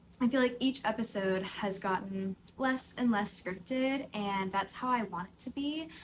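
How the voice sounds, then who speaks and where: An unremarkable speaking voice from a woman with an American accent, fairly high in pitch with ordinary pitch variation, at a moderate pace with hardly any pauses and big swings in loudness. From US South, Tennessee (near Nashville). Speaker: podcast host, yoga teacher. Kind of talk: casual unscripted chat to camera. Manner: conversational, filler-heavy.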